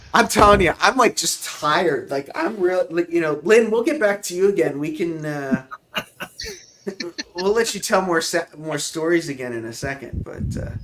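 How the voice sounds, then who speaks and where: There is noticeable background noise behind a man with a high pitch. He talks at a moderate pace with lively intonation. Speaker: YouTube model railway hobbyist host. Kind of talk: casual livestream tutorial. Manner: casual, hesitant with fillers.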